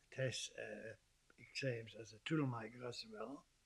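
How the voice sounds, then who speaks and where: This is a man's voice. It sounds somewhat breathy. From southwest Germany, Stuttgart area (Swabian). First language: German. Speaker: migrant sharing life story. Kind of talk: interview testimony. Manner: halting, with frequent repetitions.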